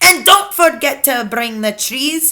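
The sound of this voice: Putting on a character voice, a woman speaks slowly with a bright, sharp tone, a high pitch and lively intonation.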